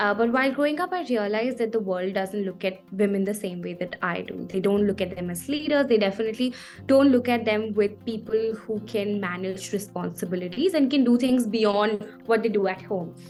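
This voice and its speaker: Over music in the background, a woman talks at a fairly quick pace with ordinary pitch variation and hardly any pauses. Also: medium pitch for a woman. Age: 20s. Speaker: NGO co-founder, social worker. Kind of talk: interview answer.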